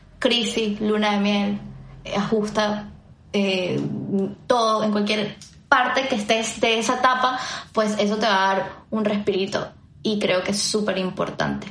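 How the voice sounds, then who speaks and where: A woman speaks fairly slowly in a fairly high, monotone, flat voice. Long, frequent pauses break her speech, and the room echo is audible. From Venezuela. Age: 20s. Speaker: podcast co-host. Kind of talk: casual chat.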